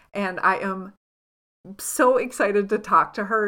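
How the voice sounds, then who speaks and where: Speaking fairly slowly with a bright, sharp tone, a woman of medium pitch shows ordinary pitch variation in a very clean recording with a silent background. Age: 40s. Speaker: podcast host and past life regression practitioner. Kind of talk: casual interview. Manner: animated.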